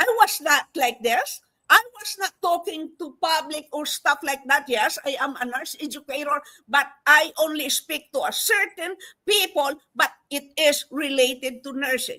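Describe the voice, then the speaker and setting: In a raised, projected voice, a woman talks at a fairly slow pace and high pitch with a bright, sharp tone and big swings in loudness. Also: lively intonation. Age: 70s. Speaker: nurse educator and online business promoter. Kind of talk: motivational testimony. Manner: animated.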